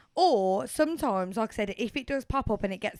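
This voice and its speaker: A woman with a Birmingham accent speaks at a fairly high pitch with lively intonation, the sound dry and close with no echo in a very clean recording over a silent background. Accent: Brummie. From Birmingham, England. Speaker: podcast co-host. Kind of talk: casual chat.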